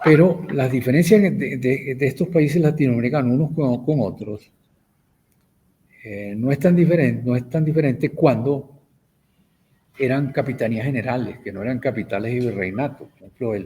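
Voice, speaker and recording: A man speaks at a moderate pace in a medium pitch with ordinary pitch variation. His tone is dark and mellow, and somewhat breathy. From Venezuela. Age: 70s. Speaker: professor and writer. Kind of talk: interview. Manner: halting, frequent repetitions.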